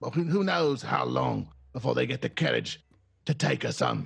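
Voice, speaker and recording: Music plays in the background as a man uses a put-on character voice. It sounds raspy and moves at a moderate pace. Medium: actual play. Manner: commanding.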